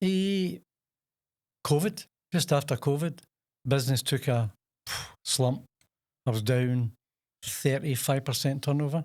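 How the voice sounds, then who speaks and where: A man with a Scottish accent speaks at a fairly high pitch, fairly slowly, with long, frequent pauses. His loudness stays very even and his pitch varies in an ordinary way, on a very clean recording with a silent background. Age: 70s. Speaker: chef and takeaway owner. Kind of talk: podcast interview. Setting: studio.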